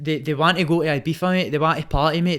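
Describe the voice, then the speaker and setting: On a very clean recording with a silent background, a man with a Glaswegian accent talks at a very fast pace in a fairly high pitch with an animated tone. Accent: Glaswegian Scottish. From Scotland. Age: 20s. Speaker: Muay Thai fighter. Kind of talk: casual chat.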